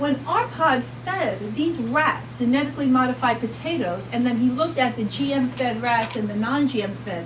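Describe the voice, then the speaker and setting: In a New York accent, a woman speaks at a moderate pace amid noticeable background noise and audible room echo. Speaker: pediatric doctor speaking at a health rally. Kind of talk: public talk at a rally. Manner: animated.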